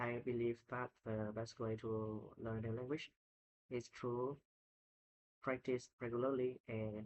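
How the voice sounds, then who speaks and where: Speaking very slowly in a Vietnamese accent, a man holds a medium pitch with monotone, flat intonation. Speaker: English learner. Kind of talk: speaking test practice. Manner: halting.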